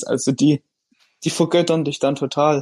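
A man's dark, mellow tone at a moderate pace, dry and close with no echo, over a quiet background. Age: 20s. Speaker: fitness influencer and engineer. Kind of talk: interview.

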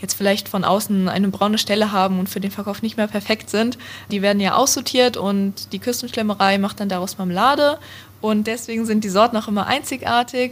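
The delivery moves at a fairly quick pace. The voice is somewhat breathy. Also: woman. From Hesse, near Frankfurt am Main. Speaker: university student. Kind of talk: interview.

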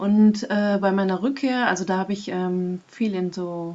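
This woman has an unremarkable speaking voice. Her medium pitch shows ordinary variation. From Germany, Münsterland. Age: 40s. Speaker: process facilitator and vision quest guide. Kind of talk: casual interview.

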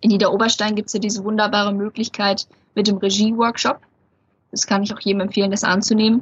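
Monotone and flat, a woman's fairly high voice moves at a fairly quick pace. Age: young. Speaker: magician. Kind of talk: interview. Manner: hesitant, many filler sounds.

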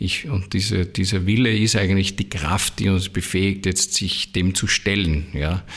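A man with a very deep, low pitch speaks at a fairly slow pace with hardly any pauses, very even loudness and fairly even intonation. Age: 60s. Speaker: spiritual teacher. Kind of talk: interview. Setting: in his own premises.

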